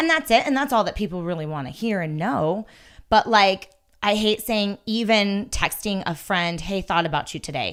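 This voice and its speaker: A woman with an ordinary speaking voice, medium pitch, lively intonation and a moderate pace, on a very clean recording with a silent background. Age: 40s. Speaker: personal trainer and gym owner. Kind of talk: casual chat.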